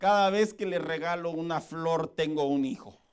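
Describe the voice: The voice is a put-on character voice, raspy and hoarse. It moves at a moderate pace with ordinary pitch variation. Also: man, high pitch for a man.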